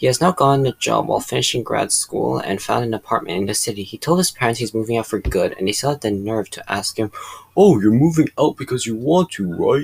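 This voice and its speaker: Noticeable background noise sits under a dry, close sound with no echo. A man talks at a very fast pace. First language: not English. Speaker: reddit story narrator. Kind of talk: reading aloud.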